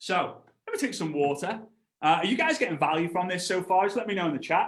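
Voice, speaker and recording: A man speaks in a high, animated voice with lively intonation. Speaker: network marketing trainer. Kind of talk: live online training presentation. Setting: livestream with chat. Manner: fast.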